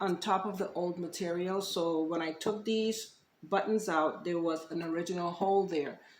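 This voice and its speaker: She is a soft-spoken woman talking at a fairly slow pace. Her pitch variation is ordinary. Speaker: DIY upholstery creator. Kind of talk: tutorial.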